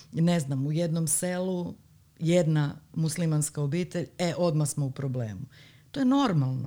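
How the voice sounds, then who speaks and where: Speaking at a fairly slow pace, a woman has a dark, mellow tone, a very deep, low pitch and ordinary pitch variation. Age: 40s. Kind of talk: casual chat.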